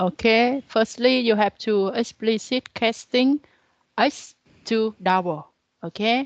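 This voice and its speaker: With a Vietnamese accent, a woman speaks very slowly at a very even loudness and ordinary pitch variation, the sound dry and close with no echo. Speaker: university lecturer. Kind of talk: lecture. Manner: halting.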